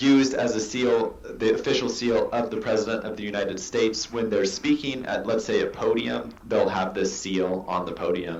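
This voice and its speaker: With an American accent, a man speaks at a moderate pace with hardly any pauses over noticeable background noise. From US Pacific Northwest. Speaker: artist. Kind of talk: interview answer.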